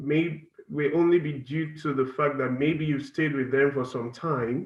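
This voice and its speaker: A man's fairly high voice in a Nigerian accent, at a fairly slow pace with fairly even intonation. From Nigeria, Delta State (south-south). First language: Ukwani. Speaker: international student. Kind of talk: class presentation Q&A. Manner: halting, many fillers.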